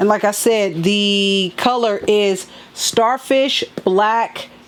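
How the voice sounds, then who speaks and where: A woman's voice, with ordinary pitch variation, comes through over noticeable background noise. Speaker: sneaker and fashion vlogger. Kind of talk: casual unboxing vlog.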